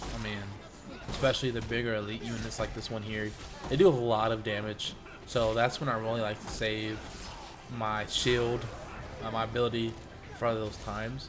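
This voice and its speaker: Music plays in the background while a man speaks at a medium pitch and moderate pace. His intonation is monotone and flat, with long, frequent pauses. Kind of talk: casual gaming commentary. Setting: home studio.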